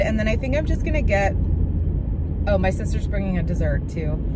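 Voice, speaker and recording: A woman speaks against loud background noise. The sound is dry, with no echo. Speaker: lifestyle vlogger. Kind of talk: casual vlog talk to camera. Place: car. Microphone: phone near.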